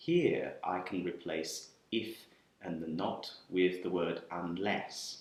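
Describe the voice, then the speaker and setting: Very deep and low in pitch, a man with a British accent speaks at a very slow pace with lively intonation. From UK. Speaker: English teacher. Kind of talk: grammar lesson to camera.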